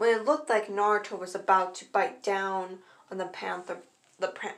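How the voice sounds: A natural reading voice is heard. Its intonation is fairly even.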